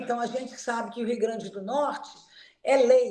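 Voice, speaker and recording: There's audible room echo around a woman speaking in a high voice. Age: 70s. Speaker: physiotherapist. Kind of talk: interview.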